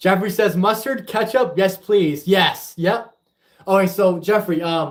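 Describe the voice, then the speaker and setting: Speaking at a fairly slow pace, a man holds a high pitch with ordinary pitch variation and very even loudness. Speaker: paranormal investigator and livestream host. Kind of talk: casual livestream chat reading viewer comments. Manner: halting, many fillers.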